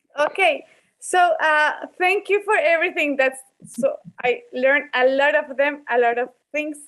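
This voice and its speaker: With a Spanish accent, a woman talks at a high pitch. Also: ordinary pitch variation, moderate pace. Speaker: attendee asking a question. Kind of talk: Q&A question. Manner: halting.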